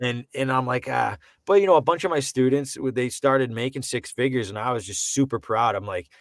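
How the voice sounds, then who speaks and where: Recorded dry and close with no echo, a man with an American accent speaks at a fairly quick pace, medium in pitch, with ordinary pitch variation. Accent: Boston accent, comes and goes. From Boston. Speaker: voice actor. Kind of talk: casual chat. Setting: home studio. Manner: animated.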